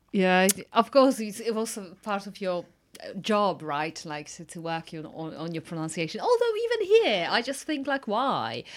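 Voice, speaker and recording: A woman with a Polish accent talks at a moderate pace with hardly any pauses. Her medium-pitched voice has lively intonation and big swings in loudness. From Poland. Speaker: podcast host. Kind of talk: casual interview.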